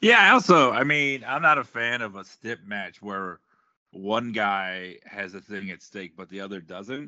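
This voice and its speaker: The speaker has an ordinary speaking voice and an American accent. The pace is fairly slow, with ordinary pitch variation. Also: man. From South Florida. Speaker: comedian. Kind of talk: casual chat.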